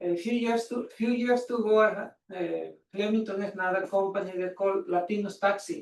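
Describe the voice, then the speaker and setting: Fairly even in intonation, a man speaks in a high pitch with a Spanish accent. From Mexico. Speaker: taxi business owner speaking at public comment. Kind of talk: public comment at council meeting. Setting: council meeting room. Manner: halting.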